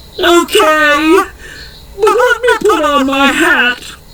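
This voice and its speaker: A shouted put-on character voice at an extremely high pitch and a fairly slow pace, with clear background noise. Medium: read story. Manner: yelling, panicky.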